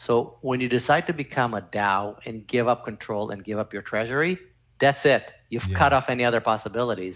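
A man speaks fairly quickly in a Canadian accent, with an ordinary speaking voice and ordinary pitch variation. The background is quiet. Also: medium pitch for a man. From Canada. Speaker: former lawyer, crypto consultant. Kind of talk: podcast interview.

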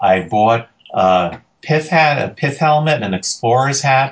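A man talks with lively intonation and a somewhat breathy voice. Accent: American. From New York City (Queens). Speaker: forager and foraging tour guide. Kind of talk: casual interview.

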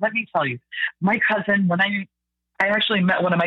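This is a plain, everyday voice with ordinary pitch variation. A woman speaks at a fairly quick pace. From Canada, Mississauga (Ontario). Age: 30s. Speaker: podcast guest. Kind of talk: casual interview conversation.

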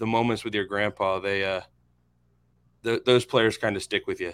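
In a very clean recording with a silent background, a man with an American accent has an ordinary speaking voice, fairly low in pitch, with fairly even intonation. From Florida, Inverness. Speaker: podcast co-host. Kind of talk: casual chat.

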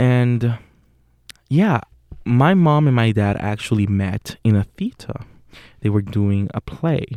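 A man with a Puerto Rican accent speaks at a very slow pace in a medium pitch, his dark, mellow tone carried by lively intonation and broken by long, frequent pauses. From Puerto Rico. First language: Spanish. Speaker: acting student and podcast host. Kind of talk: casual monologue. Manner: hesitant with fillers.

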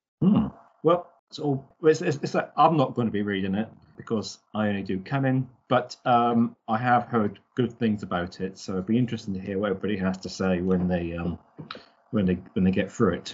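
With a British accent, a man speaks fairly quickly in a fairly low pitch and lively intonation. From Britain. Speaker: podcast host. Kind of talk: casual chat. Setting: video call. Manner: chatty, laughs often.

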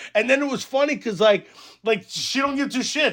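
In a raised, projected voice, a man speaks fairly quickly at an extremely high pitch, with a bright, sharp tone and fairly even intonation. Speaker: podcast host. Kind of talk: casual banter, profane. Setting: video call. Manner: loud, profane, jokey.

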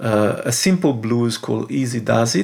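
This man speaks with an Italian accent. His intonation stays fairly even. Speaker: podcast host, jazz saxophonist. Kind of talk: interview. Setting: video call.

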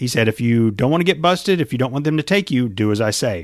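In a very clean recording with a silent background, a man talks fast at a medium pitch with lively intonation.

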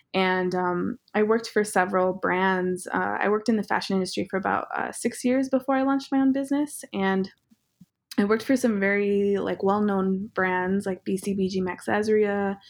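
A woman speaks at a moderate pace with an American accent, medium pitch and ordinary pitch variation in an ordinary speaking voice against a quiet background. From southeastern Montana, Cheyenne and Crow communities. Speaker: fashion designer and brand founder. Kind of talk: interview. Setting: video call.

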